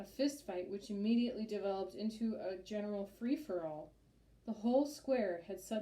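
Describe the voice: The delivery is plain reading aloud. Nothing more is added to the reading.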